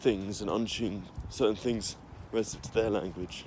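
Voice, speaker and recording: With a strong English accent, a man speaks at a moderate pace, fairly low in pitch with fairly even intonation. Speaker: language teacher. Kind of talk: casual explainer video. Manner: halting, many fillers.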